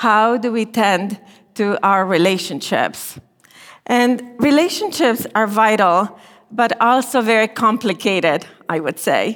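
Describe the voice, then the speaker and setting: Speaking with a Romanian accent, a woman uses a fairly high pitch and a fairly slow pace. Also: ordinary pitch variation. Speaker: marriage and family therapy professor. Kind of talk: chapel talk.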